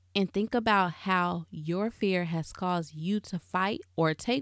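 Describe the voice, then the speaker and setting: Heard in a very clean recording with a silent background, a woman with a fairly low pitch has a plain, everyday voice with ordinary pitch variation. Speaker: podcast host. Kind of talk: fervent closing prayer, led aloud to listeners. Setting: home closet studio. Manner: earnest, reverent, warm, with repeated 'Lord' cadence.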